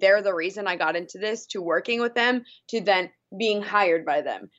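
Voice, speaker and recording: A woman speaks in a normal speaking voice at a medium pitch. She keeps a fairly quick pace and fairly even intonation. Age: 30s. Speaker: radio morning show host. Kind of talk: casual chat.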